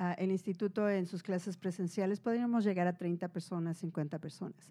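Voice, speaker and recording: A woman speaks at a moderate pace with a medium pitch, a dark, mellow tone and fairly even intonation. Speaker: podcast co-host. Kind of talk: casual chat. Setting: live stream on Instagram.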